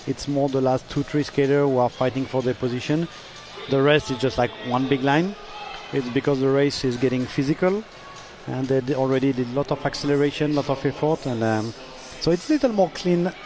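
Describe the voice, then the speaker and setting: Speaking in a French accent at a fairly quick pace, a man with a fairly high pitch keeps his loudness very even as music plays behind him. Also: ordinary pitch variation. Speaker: sports commentator. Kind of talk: live commentary.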